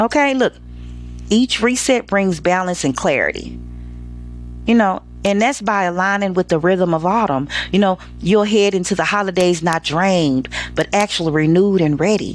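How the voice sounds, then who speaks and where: A woman at a moderate pace with very even loudness, ordinary pitch variation and long, frequent pauses, music in the background. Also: medium pitch for a woman. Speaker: lifestyle show host. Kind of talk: casual commentary. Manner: talkative, animated.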